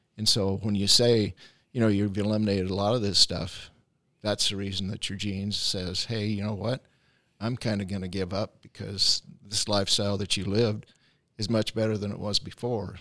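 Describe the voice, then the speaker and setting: A man with a fairly low pitch and a bright, sharp tone speaks at a fairly quick pace. His intonation is monotone and flat, in a very clean recording with a silent background. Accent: American. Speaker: chiropractic and naturopathic doctor hosting a health podcast. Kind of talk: interview-style podcast chat. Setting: studio. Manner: hesitant, many filler words.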